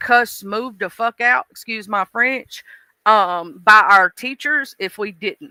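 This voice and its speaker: An animated woman with an American accent, fairly high in pitch with ordinary pitch variation, bright and sharp in tone, at a fairly slow pace, on a very clean recording with a silent background and a dry, close sound with no echo. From US South. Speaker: live streamer. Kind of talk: casual chat. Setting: live stream.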